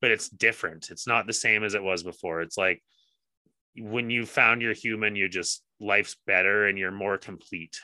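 A man's unremarkable speaking voice, fairly low in pitch, with fairly even intonation at a moderate pace. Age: 30s. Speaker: podcast co-host. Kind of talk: casual chat.

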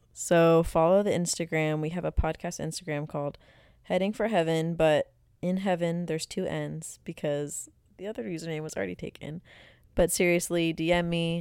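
A woman's plain, everyday voice, fairly low in pitch, with fairly even intonation at a moderate pace on a very clean recording with a silent background. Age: 20s. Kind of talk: solo podcast monologue, faith talk.

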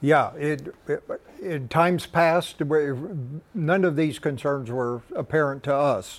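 Very slow in pace, the man's fairly high voice shows ordinary variation in pitch. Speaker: irrigation district representative, grower. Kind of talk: panel discussion.

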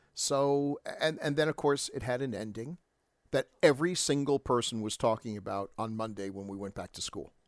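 With an American accent, a man speaks in an unremarkable speaking voice at a moderate pace, his pitch fairly high with ordinary variation and his loudness swinging widely. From New York (Staten Island). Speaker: podcast co-host. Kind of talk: casual chat.

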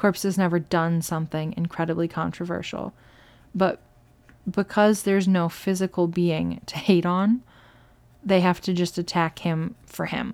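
On a very clean recording with a silent background, a woman with an unremarkable speaking voice talks at a moderate pace in a fairly low pitch with fairly even intonation. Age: 20s. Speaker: solo podcast host. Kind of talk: casual monologue. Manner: many filler words.

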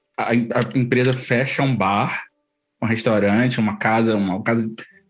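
Medium pitch and fairly even intonation from a man speaking at a moderate pace. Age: 30s. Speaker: podcast co-host. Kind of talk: casual chat.

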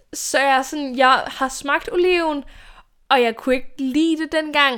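The recording is very clean, with a silent background. The speaker is a woman. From Denmark, Odense (Funen). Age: 20s. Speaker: YouTuber and podcast host. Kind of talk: casual solo monologue. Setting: home bedroom. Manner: chatty, talkative with laughs.

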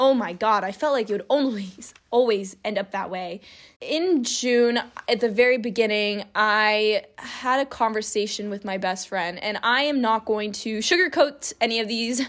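A woman speaks in a plain, everyday voice, fairly high in pitch with ordinary pitch variation, at a moderate pace. The recording is very clean, with a silent background. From California. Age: 20s. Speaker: podcaster. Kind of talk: personal monologue.

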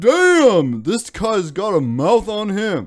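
In a put-on character voice, a man talks very slowly at a high pitch, his pitch swinging very widely.

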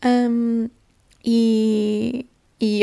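A woman with a European Portuguese accent talks at a fairly high pitch in a monotone, flat delivery. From Portugal, small town. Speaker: podcaster. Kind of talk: solo casual monologue. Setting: recording on lunch break. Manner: halting, with many fillers.

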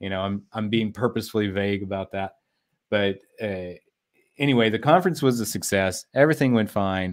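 The man has an ordinary speaking voice with a fairly low pitch and ordinary pitch variation, talking at a fairly quick pace. The recording is very clean, with a silent background. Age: 40s. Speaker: business consultant and entrepreneur. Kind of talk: interview.

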